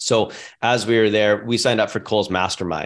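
A man's medium-pitched voice, a plain, everyday voice with fairly even intonation, on a very clean recording with a silent background. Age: 30s. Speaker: real estate investor and entrepreneur. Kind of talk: interview conversation.

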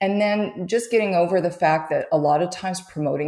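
A woman with a Canadian accent talks at a moderate pace. It is a normal speaking voice with ordinary pitch variation. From Canada. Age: 50s. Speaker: photographer. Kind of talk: interview.

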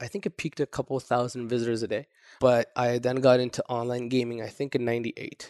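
A man at medium pitch talks at a fairly quick pace with monotone, flat intonation against a quiet background. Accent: Toronto. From grew up moving between Saudi Arabia, Japan and the US. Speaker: entrepreneur. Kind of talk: interview. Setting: in person in Toronto. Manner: casual.

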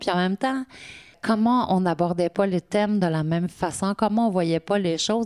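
Recorded very cleanly with a silent background and a dry, close sound with no echo, a woman speaks in a normal speaking voice at a medium pitch and moderate pace with ordinary pitch variation. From Quebec, Côte-Nord. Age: 50s. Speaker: municipal director. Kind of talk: interview.

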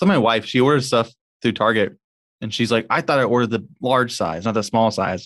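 Using a plain, everyday voice, a man speaks at a medium pitch. His pace is fairly quick. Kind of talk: casual chat.

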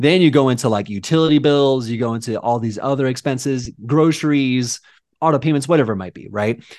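A man with an American accent has a normal speaking voice. He talks at a fairly quick pace with big swings in loudness. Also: medium pitch for a man, ordinary pitch variation. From Southern California, San Diego. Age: 30s. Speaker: realtor. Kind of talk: casual chat.

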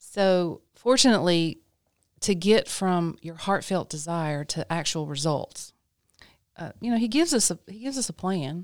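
In a very clean recording with a silent background, a woman with an American accent and an ordinary speaking voice talks at a moderate pace, her fairly low pitch carried by lively intonation and big swings in loudness. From North Carolina. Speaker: ministry director. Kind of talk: casual chat.

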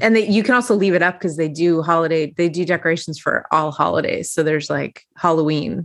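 A woman talks fairly quickly with hardly any pauses, in a normal speaking voice pitched fairly low. Her loudness stays very even, and her pitch varies in an ordinary way. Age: 40s. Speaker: podcast host. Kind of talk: casual chat.

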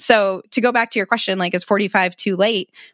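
A woman talks at a fairly quick pace with fairly even intonation, her voice dry and close with no echo against a quiet background. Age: 30s. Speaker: financial coach. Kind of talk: podcast interview.

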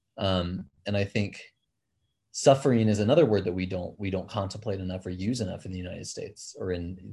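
Fairly low pitch from a man, somewhat breathy with a dark, mellow tone, fairly even intonation, a fairly quick pace and big swings in loudness, against a quiet background. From Kenya. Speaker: mountain guide and outdoor educator. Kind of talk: casual chat. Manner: halting.

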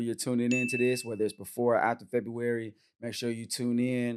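At a fairly quick pace, a man talks in a plain, everyday voice of medium pitch. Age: 30s. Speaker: podcast host and men's retreat facilitator. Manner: casual, slangy and upbeat.

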